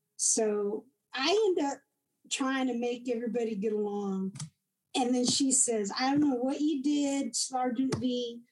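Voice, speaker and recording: The speaker has a Texan accent, ordinary pitch variation and very even loudness. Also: woman, high pitch for a woman, fairly slow pace. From Texas. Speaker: combat veteran. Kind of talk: interview. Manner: halting.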